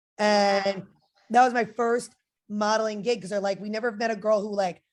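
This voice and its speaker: A woman at medium pitch and moderate pace, fairly even in intonation, against a quiet background. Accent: New Jersey. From New Jersey. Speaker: fitness model and personal trainer. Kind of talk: interview. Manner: casual, filler-heavy.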